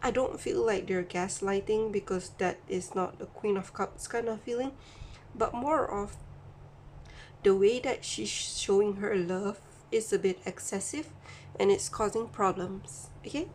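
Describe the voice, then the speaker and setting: At a fairly slow pace, a woman speaks in a medium pitch with ordinary pitch variation. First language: not English. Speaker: tarot reader. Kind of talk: tarot reading monologue. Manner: halting.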